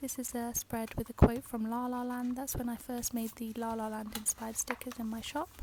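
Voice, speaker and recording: A soft-spoken woman with a British accent talks at a fairly quick pace in a high voice. Her intonation stays flat and monotone over noticeable background noise. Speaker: journaling craft youtuber. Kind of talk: ASMR journal flip-through tour.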